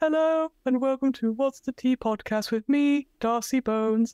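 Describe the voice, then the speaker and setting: A high-pitched, female-sounding put-on character voice at a moderate pace. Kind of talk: cheery, chatty. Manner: slurping tea while talking.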